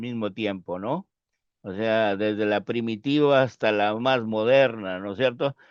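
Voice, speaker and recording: The sound is dry and close with no echo, over a quiet background. A man speaks at a fairly slow pace in a medium pitch with ordinary variation. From northern Peru. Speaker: sociologist. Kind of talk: casual interview conversation. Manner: hesitant, many fillers.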